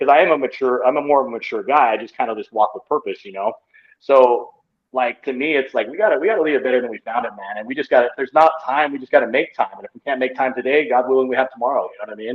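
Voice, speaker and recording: Racing at a very fast pace, a man with a medium pitch and an American accent shows ordinary pitch variation and big swings in loudness. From Utah. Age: 30s. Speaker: pro wrestler. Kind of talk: casual chat.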